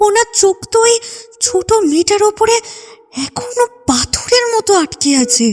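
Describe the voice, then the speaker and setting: A woman puts on a character voice at an extremely high pitch, with very wide pitch swings and a moderate pace. The sound is dry and close, with no echo. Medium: audio drama.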